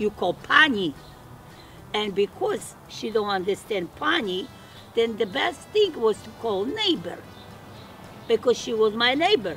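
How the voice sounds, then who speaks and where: With music in the background, a woman with a Polish accent speaks at a fairly slow pace in a fairly high pitch with lively intonation. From Poland. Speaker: webisode star. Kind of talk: to-camera interview.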